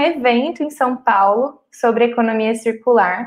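Speaking at a fairly slow pace, a woman uses a high voice. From Cuiabá, Mato Grosso, Brazil. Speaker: chemical engineering student. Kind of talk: podcast interview.

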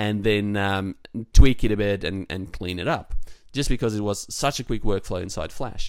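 A man with an Australian accent speaks at a moderate pace in a fairly low voice, with ordinary pitch variation. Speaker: podcast co-host, web developer. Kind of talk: casual chat. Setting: remote call.

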